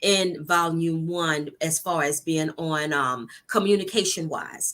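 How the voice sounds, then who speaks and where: A woman's fairly low voice comes across bright and sharp, animated, with ordinary pitch variation. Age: 60s. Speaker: grief specialist and author. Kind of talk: interview.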